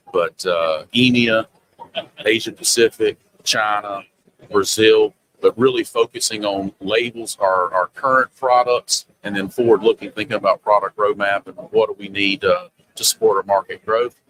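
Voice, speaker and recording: A man with a Southern US accent at a moderate pace, dry and close with no echo, with big swings in loudness. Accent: noticeable Southern. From US South, Charlotte, North Carolina. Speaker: sales executive in printing industry. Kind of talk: casual interview. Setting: trade show booth.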